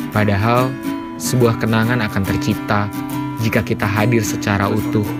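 A man at a moderate pace, with loud music in the background. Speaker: narrator. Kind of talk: reflective narration. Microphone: phone near.

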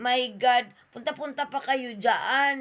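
This is a woman with a high pitch. Her tone is bright and sharp. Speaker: vlogger commenting on politics and religion. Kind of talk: angry rant. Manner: sarcastic, scolding, mocking tone.

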